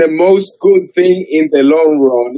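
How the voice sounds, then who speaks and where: A man with a strong non-native accent, at a fairly slow pace, in a dry, close sound without echo. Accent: strong foreign. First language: not English. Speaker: debater. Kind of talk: heated debate. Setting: video call.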